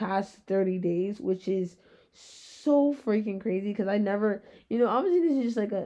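A woman speaks in a dark, mellow tone at a moderate pace, her medium pitch showing ordinary variation. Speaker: podcast host. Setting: home recording in bed at night.

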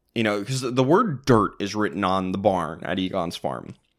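A man with a plain, everyday voice speaks at a fairly slow pace with a fairly low pitch. The recording is very clean with a silent background. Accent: American. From Minneapolis suburbs, Minnesota. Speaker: podcast host. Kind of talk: casual chat.

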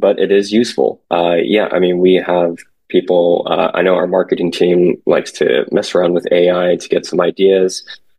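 A man speaks with an American accent. His pace is moderate, with hardly any pauses. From San Francisco Bay Area, California. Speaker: commercial real estate sales associate. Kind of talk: interview. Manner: halting, many fillers.

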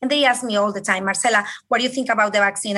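A woman's fairly high, bright, sharp voice with a Spanish accent and monotone, flat intonation. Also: quiet background. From Colombia. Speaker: respiratory therapist. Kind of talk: interview.

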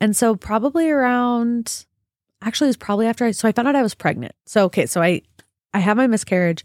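A woman speaks very fast in an animated tone, her fairly high voice rising and falling with lively intonation. Her loudness stays very even, and the very clean recording has a silent background and a dry, close sound with no echo. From Utah, US (Draper). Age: 20s. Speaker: podcast host, stay-at-home mom. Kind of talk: casual chat. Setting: studio.

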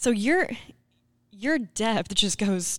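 A woman with an Arkansas accent speaks with ordinary pitch variation in a very clean recording against a silent background. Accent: Southern US (Arkansas). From Arkansas (Scranton). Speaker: podcast host, cooperative communications staff. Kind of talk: interview.

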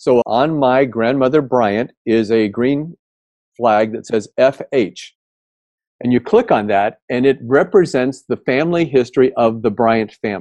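In a normal speaking voice with an American accent, a man talks at a fairly slow pace, medium pitch and ordinary pitch variation, with a dry, close sound and no echo. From US Midwest, Indiana. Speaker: tech company founder. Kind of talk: interview.

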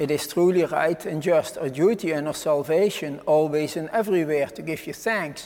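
A man speaks at a moderate pace with hardly any pauses. His unremarkable speaking voice is fairly high in pitch, with ordinary pitch variation. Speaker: priest celebrating Mass. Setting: chapel, televised Mass. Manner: solemn, reverent, fervent.

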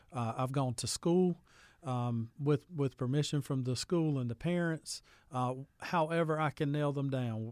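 Someone with a Southern US accent speaks at a fairly slow pace with ordinary pitch variation. The recording is very clean and silent behind the voice, with a dry, close sound and no echo. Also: man, fairly high pitch for a man. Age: 30s. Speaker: youth pastor. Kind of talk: casual chat.

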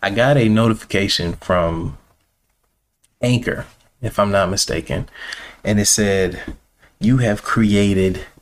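A man's fairly low voice, with ordinary pitch variation, moves at a fairly slow pace broken by long, frequent pauses. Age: 30s. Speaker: podcast host. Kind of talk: casual monologue. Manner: animated.

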